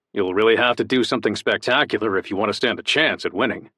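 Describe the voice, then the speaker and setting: A man's put-on character voice, rumbling and warm in tone, medium in pitch, at a very fast pace, with dry, close sound and no echo. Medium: read story. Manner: warm, easygoing.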